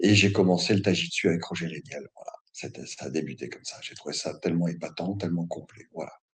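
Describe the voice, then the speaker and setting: A man with a very deep, low pitch and vocal fry talks at a very fast pace, with ordinary pitch variation and big swings in loudness. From northern France. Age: 60s. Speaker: martial arts instructor. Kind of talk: interview. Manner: hesitant, many fillers.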